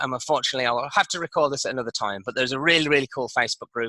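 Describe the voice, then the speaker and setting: Heard as a dry, close sound with no echo, a man with a British accent talks in a bright, sharp tone. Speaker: online business course creator. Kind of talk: product walkthrough. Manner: fast.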